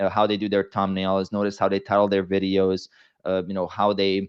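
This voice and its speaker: A man's fairly low voice with a non-native accent at a fairly quick pace. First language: not English. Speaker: fitness coach and YouTuber. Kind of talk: podcast interview.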